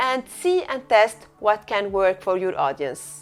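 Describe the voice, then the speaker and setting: Intonation moves in a lively way. The speaker is a woman. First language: not English. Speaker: eCommerce coach. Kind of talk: tutorial.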